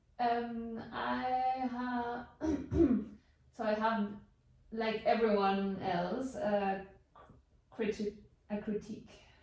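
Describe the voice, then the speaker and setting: The speech comes at a very slow pace with long, frequent pauses and fairly even intonation, amid noticeable background noise and audible room echo. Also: woman, fairly high pitch for a woman. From Canary Islands, Spain. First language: Spanish. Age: 30s. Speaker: couchsurfing host. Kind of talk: interview. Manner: halting.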